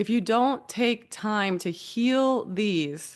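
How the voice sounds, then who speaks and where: A woman with an American accent and a fairly high pitch speaks with ordinary pitch variation against a quiet background. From California. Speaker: hypnotherapist and healer. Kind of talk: casual talk to camera. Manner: animated.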